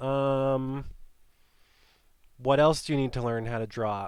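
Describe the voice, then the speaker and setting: An ordinary speaking voice moves at a fairly slow pace over a very clean recording with a silent background. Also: man. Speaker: art teacher. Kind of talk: tutorial. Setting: studio.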